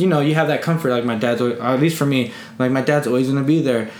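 Noticeable background noise and audible room echo fill the recording. A man speaks in a fairly high voice. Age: 20s. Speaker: podcast host. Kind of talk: casual chat.

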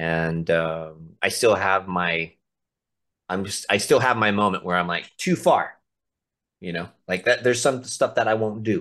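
A man's plain, everyday voice, fairly low in pitch with ordinary pitch variation, at a fairly slow pace against a quiet background. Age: 40s. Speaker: mace fitness coach. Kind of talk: casual chat.

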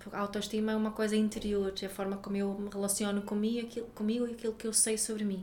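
Against audible room echo, a woman with a Swedish accent talks fairly quickly at medium pitch in a monotone, flat intonation. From Sweden. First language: Swedish (speaking Portuguese). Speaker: parenting educator and author. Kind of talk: interview. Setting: office.

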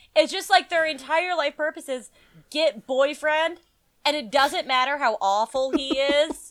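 A woman speaks in a high pitch at a fairly slow pace. Her pitch variation is ordinary. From New Mexico. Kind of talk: casual chat.

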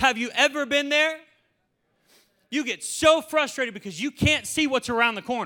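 A man speaks in a raised, projected voice at an extremely high pitch, his bright, sharp tone animated and broken by long, frequent pauses. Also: ordinary pitch variation, moderate pace. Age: 20s. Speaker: pastor. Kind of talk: sermon.

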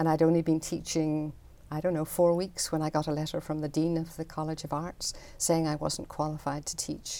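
A woman with a Northern Irish accent speaks at a fairly quick pace in a very deep, low voice, her dark, mellow tone delivered with monotone, flat intonation on a very clean recording with a silent background. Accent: Northern Irish (Belfast). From Northern Ireland, Belfast. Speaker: artist. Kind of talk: interview.

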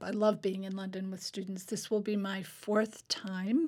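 This woman's voice sits at medium pitch and is somewhat breathy. She talks at a fairly slow pace with fairly even intonation. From Alaska, Fairbanks. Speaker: English professor and writer. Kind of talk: interview. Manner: halting, with frequent repetitions.

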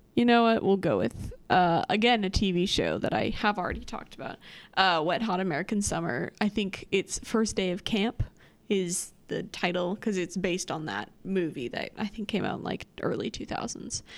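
With vocal fry, the voice moves at a moderate pace and ordinary pitch variation on a very clean recording with a silent background. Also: woman, medium pitch for a woman. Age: 20s. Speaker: grad student, podcast guest. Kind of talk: casual chat.

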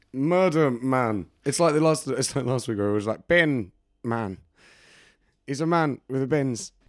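A man speaks in an unremarkable speaking voice at medium pitch. His pace is fairly slow and his intonation lively. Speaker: podcast host. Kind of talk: casual chat.

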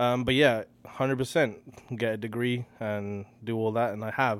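A man speaks with a British accent. His pitch is medium and his intonation fairly even. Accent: English (UK). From England, Slough/Hounslow near London. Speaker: R&B singer-songwriter. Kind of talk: casual interview chat. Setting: studio.

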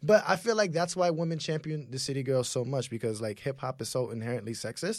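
A man at a fairly high pitch with an American accent, lively intonation, a very fast pace and hardly any pauses. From US, Haitian family. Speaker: podcast co-host. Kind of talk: casual chat.

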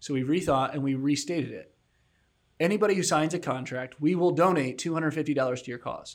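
A man with a plain, everyday voice at a fairly high pitch and moderate pace, ordinary pitch variation and big swings in loudness, on a very clean recording with a silent background. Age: 30s. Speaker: podcast co-host. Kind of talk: casual interview chat.

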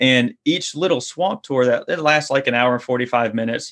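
A man talks at a fairly quick pace with a Louisiana accent. The background is quiet. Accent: Louisiana Southern US. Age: 30s. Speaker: fishing guide and online course creator. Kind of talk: casual interview. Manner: halting, many repetitions and fillers.

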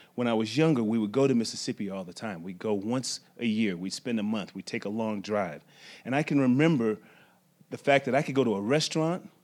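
A man speaks at a moderate pace in an American accent, with an ordinary speaking voice of medium pitch and ordinary pitch variation. The recording is very clean, with a silent background. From Las Vegas, Nevada. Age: 40s. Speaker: university athletics administrator. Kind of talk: personal storytelling.

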